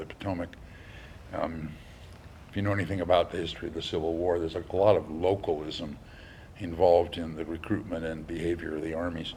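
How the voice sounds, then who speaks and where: Very deep and low in pitch, a somewhat breathy man talks at a very fast pace with audible room echo. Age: 70s. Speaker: lecturer. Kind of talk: lecture. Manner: halting, many fillers; animated.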